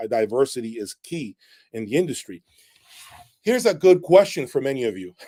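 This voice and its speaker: At a moderate pace, a man's dark, mellow voice comes through dry and close with no echo. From Latin American, Spanish-speaking. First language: Spanish. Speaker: audio equipment reviewer. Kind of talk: live stream chat. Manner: animated.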